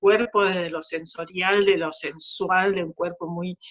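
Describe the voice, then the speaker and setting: At a fairly slow pace, a woman speaks in an ordinary speaking voice with medium pitch and fairly even intonation. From Argentina, Chaco. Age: 60s. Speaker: dancer and choreographer. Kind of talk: interview conversation.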